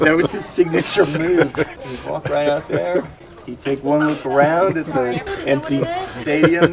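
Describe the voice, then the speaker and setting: A man talks fairly slowly with a fairly high pitch. His intonation stays fairly even over noticeable background noise. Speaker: podcast co-host. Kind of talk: casual chat.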